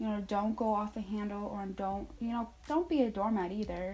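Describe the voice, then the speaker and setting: Music in the background behind a woman at a fairly high pitch, animated in tone, at a moderate pace. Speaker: retail store manager and vlogger. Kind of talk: casual advice vlog.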